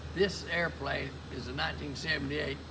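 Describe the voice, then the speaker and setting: A man talking at a fairly quick pace amid noticeable background noise and audible room echo. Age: 80s+. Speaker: retired insurance man and private pilot. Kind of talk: casual interview chat. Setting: outdoors at an airfield beside a plane.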